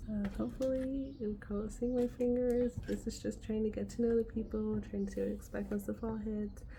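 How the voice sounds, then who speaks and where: Whispering at a moderate pace, a woman is heard with audible room echo. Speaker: kindergarten teacher and vlogger. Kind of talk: casual vlog; video call meeting.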